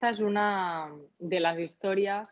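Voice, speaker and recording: Very slow female speech, its intonation fairly even. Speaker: cocktail content creator. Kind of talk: casual interview.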